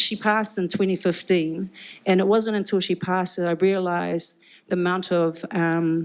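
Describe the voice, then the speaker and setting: In a New Zealand accent, a woman speaks at medium pitch and a moderate pace with monotone, flat intonation. The recording is very clean with a silent background. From New Zealand, Upper Hutt. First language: Cook Islands Māori. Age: 50s. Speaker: musician and rapper. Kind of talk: live panel conversation. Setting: live event with audience.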